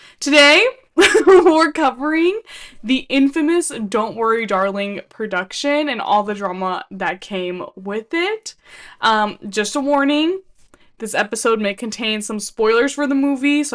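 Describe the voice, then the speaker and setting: A woman speaks at a fairly slow pace with a Californian accent, her pitch high and swinging very widely. The background is quiet. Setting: podcast.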